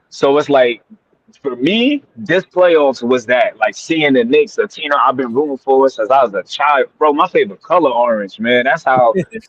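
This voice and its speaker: A man's fairly high voice moves at a moderate speed, its pitch shifting in an ordinary way. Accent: American. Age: 30s. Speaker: basketball fan. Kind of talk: casual chat. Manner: animated.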